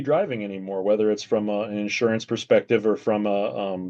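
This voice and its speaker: This man's pace is fairly quick. His voice has a medium pitch. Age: 40s. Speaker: video commentator. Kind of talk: casual chat. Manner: halting.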